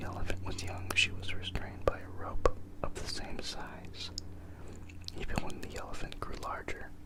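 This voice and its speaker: Over noticeable background noise, a man is whispering. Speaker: ASMR creator. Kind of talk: whispered ASMR reading. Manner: whispered, soft-spoken.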